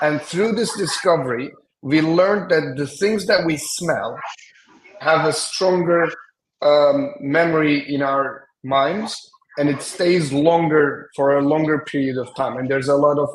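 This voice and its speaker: Heard with audible room echo, the speaker has a Turkish accent, a fairly slow pace and ordinary pitch variation. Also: man, fairly high pitch for a man. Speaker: semiotician and design strategist. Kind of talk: conference presentation. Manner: hesitant, with many fillers.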